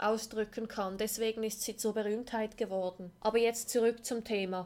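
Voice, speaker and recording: Fairly even intonation runs through this dark, mellow tone, which keeps a moderate pace. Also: woman. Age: 20s. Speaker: podcast host. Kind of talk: personal monologue.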